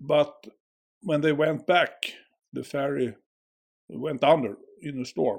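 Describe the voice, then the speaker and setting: With a Swedish accent, a man talks in a fairly even intonation. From Sweden. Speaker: school worker. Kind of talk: casual chat. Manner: slow.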